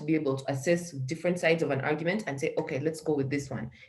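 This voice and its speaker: A woman speaks in a very deep, low voice with fairly even intonation over noticeable background noise. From Uganda. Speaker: social entrepreneur. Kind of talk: interview.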